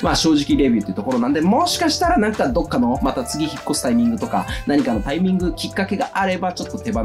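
Through noticeable background noise, a man talks at a very fast pace. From Okayama, Japan. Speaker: fashion industry worker. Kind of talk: casual talk to camera. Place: home room.

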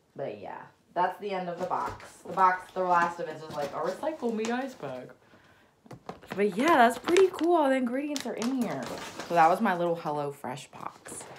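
With an American accent, a woman talks at a moderate pace and medium pitch, her voice making very wide pitch swings and big swings in loudness over noticeable background noise. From US South. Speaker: YouTuber. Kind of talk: unboxing vlog. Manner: casual, rambling. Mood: light, playful, some disgust. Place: home room. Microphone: phone near.

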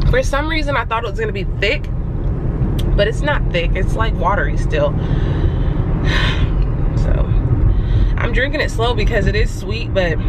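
Long, frequent pauses break up a woman's moderate-paced speech. The sound is dry with no echo, but loud background noise runs underneath. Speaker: vlogger. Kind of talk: casual vlog chat. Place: car. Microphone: phone near.

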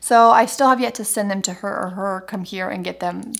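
A woman races along at a very fast pace in quiet surroundings. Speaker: vlogger. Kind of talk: casual vlog chat. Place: kitchen. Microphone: phone near.

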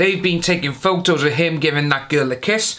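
This man's tone is bright and sharp, with a fairly high pitch. He talks at a moderate pace with ordinary pitch variation.

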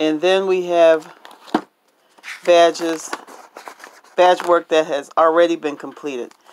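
A fairly slow pace over light background noise. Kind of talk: tutorial. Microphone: phone near.

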